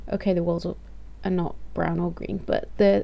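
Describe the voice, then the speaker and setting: The pace is moderate. The speaker is a woman. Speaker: vlogger. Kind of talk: casual vlog chat. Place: home room. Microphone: webcam.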